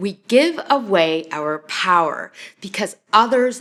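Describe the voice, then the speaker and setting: A woman with a Canadian accent speaks at a medium pitch with lively intonation. Hers is an unremarkable speaking voice. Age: 40s. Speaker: personal coach / vlogger. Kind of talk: advice vlog answering viewer question. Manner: earnest, conversational with fillers.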